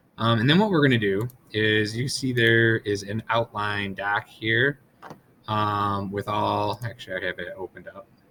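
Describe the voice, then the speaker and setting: A man speaks at a moderate pace with a fairly low pitch and ordinary pitch variation. His tone is bright and sharp. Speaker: teacher. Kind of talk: tutorial.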